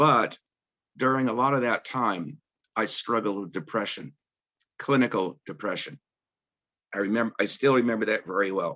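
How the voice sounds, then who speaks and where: A man with an American accent, medium pitch and a bright, sharp tone, at a moderate pace with ordinary pitch variation and long, frequent pauses. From US Northeast, Boston area. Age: 70s. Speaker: support community member. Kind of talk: personal testimony. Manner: halting, with restarts.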